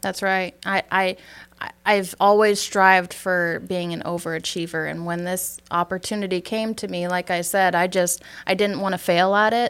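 With a Wisconsin accent, a woman talks at a medium pitch and a moderate pace, her intonation monotone and flat, with hardly any pauses. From northern Wisconsin, US Upper Midwest. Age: 20s. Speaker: insurance sales agent. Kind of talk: interview.

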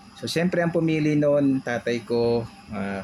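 A man speaks with lively intonation amid noticeable background noise. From Philippines, Tondo, Manila. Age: 40s. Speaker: podcast co-host. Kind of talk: casual chat.

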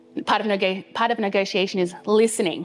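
With music playing in the background, a woman talks at a fairly quick pace with ordinary pitch variation. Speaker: pastor. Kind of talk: sermon. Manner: fast.

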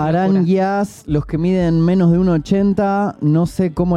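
The voice has a dark, mellow tone and fairly even intonation. The pace is very slow. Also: man. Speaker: voice actor and co-host. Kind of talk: casual chat.

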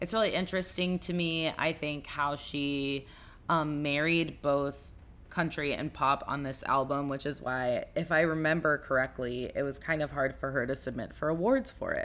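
Her pitch is very deep and low for a woman, with ordinary variation. She talks at a moderate pace on a very clean recording with a silent background. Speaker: podcast host. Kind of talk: casual monologue. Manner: loud; relaxed.

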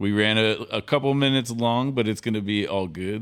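A man's voice with an American accent and ordinary pitch variation. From Sacramento, California. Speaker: comedian and podcast host. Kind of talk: casual chat.

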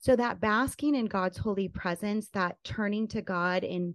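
With a plain, everyday voice, a woman speaks at medium pitch and a fairly slow pace, showing ordinary pitch variation, recorded with a dry, close sound with no echo against a quiet background. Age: 40s. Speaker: podcast host and conference speaker. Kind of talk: interview. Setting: video call.

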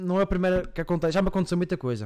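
This man's voice sits high in pitch. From Madeira, Portugal. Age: 20s. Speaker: streamer and podcast host. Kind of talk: casual live-stream chat. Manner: animated.

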